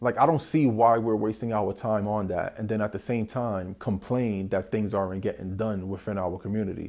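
In a New York accent, a man speaks at a moderate pace with hardly any pauses and fairly even intonation. His fairly low voice sits on a very clean recording with a silent background. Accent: New York City. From South Bronx, New York City. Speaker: podcast host. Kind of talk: solo monologue podcast. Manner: casual, many fillers and repetitions.

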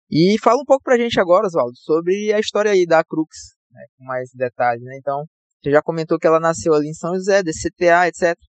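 The intonation is lively. Loudness swings widely from moment to moment. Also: man, high pitch for a man. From Northeast Brazil, São Luís, Maranhão. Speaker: podcast host and aerospace engineer. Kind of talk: podcast interview.

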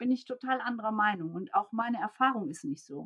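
This woman has an unremarkable speaking voice. Her pitch is fairly high and her pace moderate. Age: 50s. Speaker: organizational development coach and consultant. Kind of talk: interview.

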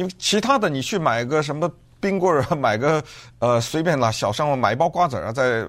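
At a moderate pace, a man with a fairly high pitch makes very wide pitch swings in a very clean recording with a silent background. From Beijing, China. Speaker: podcast host. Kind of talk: solo commentary.

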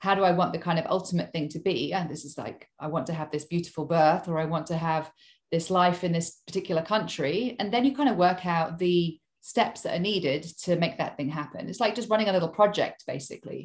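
The somewhat breathy voice moves at a fairly quick pace with ordinary pitch variation, recorded very cleanly against a silent background. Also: woman, fairly low pitch for a woman. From Hong Kong. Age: 40s. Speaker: career coach. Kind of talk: interview.

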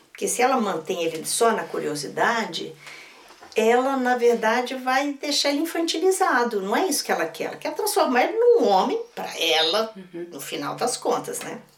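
Speaking at a moderate pace, a high-pitched woman swings very widely in pitch and strongly in loudness, with noticeable background noise behind her. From Minas Gerais, Brazil. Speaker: storyteller and writer. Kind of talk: interview conversation, teaching talk. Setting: recording studio with others at night, filmed.

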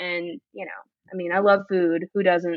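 In an American accent, a woman with an ordinary speaking voice talks at a moderate pace. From Miami, Florida. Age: 30s. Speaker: small business owner. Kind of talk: casual chat.

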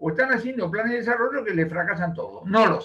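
A man talks at a very fast pace with lively intonation. His pitch is high and his tone bright and sharp. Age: 70s. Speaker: economist. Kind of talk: interview. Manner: animated.

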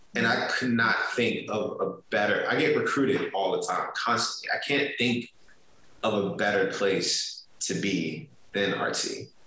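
A man talks at a fairly slow pace. Room echo is audible, and background noise is noticeable. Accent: American. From US Mid-Atlantic (DMV area). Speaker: marketing executive. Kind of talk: interview.

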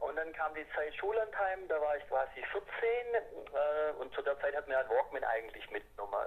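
This man's voice sits high in pitch with very wide pitch swings. He keeps a moderate pace. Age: 40s. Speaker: amateur cycling racer. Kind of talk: casual interview. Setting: phone call.

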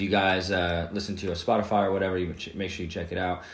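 Very fast and somewhat breathy, a man speaks in a very deep, low pitch with audible room echo around him. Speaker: podcast host. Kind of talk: casual podcast chat.

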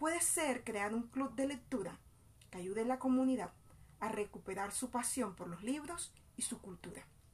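Lively intonation marks this woman's high voice. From Colombian Caribbean coast, Bolívar. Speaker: education student and community mother. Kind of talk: scripted narration. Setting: outdoors in a public plaza.

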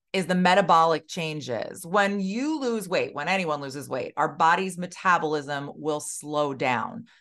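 Against a quiet background, a woman with an ordinary speaking voice talks at a fairly low pitch with lively intonation. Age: 40s. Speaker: weight loss specialist and podcast host. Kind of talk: solo podcast monologue. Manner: casual, conversational.

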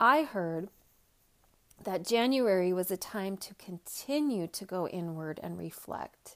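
A woman with a plain, everyday voice speaks at a fairly slow pace in a medium pitch, her intonation lively and her loudness swinging widely. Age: 40s. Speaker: podcast host and equine bodyworker. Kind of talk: solo podcast monologue.

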